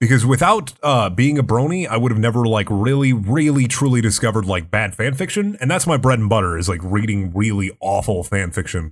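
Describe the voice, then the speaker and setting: Recorded very cleanly against a silent background, a man speaks in an ordinary speaking voice at a medium pitch and a fairly quick pace, with very even loudness and hardly any pauses. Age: 20s. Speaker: voice actor and YouTuber. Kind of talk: casual chat.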